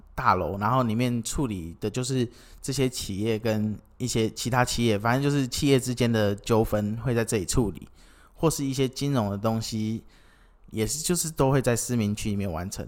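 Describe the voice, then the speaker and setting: A man's medium-pitched, ordinary speaking voice at a moderate pace, with ordinary pitch variation, on a very clean recording with a silent background. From Kinmen, Taiwan. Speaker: podcast co-founder, forum participant. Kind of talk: casual chat.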